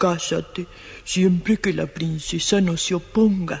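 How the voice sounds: A put-on character voice at a middle pitch. The pace is fairly slow.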